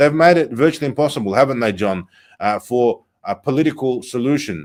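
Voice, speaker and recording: A man with an Australian accent in a very clean recording with a silent background. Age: 30s. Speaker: political broadcaster. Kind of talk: live political talk show. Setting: studio in a consulate building. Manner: animated.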